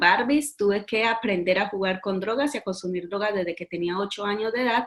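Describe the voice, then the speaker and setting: Her voice sits at a medium pitch for a woman and shows ordinary pitch variation. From Colombia, Medellín. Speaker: author giving life testimony. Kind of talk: testimony. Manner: halting, many fillers.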